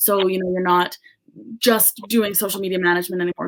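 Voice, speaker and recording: A woman with an unremarkable speaking voice, medium pitch and a fairly quick pace, with a Canadian accent. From Canada, British Columbia. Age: 20s. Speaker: social media business owner. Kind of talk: podcast interview. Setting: podcast interview.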